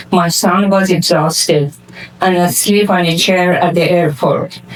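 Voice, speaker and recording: Over noticeable background noise, the speaker talks at a fairly slow pace with a Persian accent. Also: woman. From Iran. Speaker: community foundation founder. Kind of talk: award acceptance speech.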